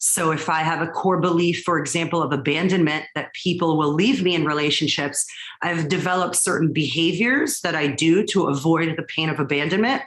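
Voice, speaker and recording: A woman talks at a fairly quick pace, her pitch fairly low with ordinary variation. Audible room echo and noticeable background noise surround her voice. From Israel, moved to US at ten. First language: Hebrew. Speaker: clinical psychologist. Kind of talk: interview.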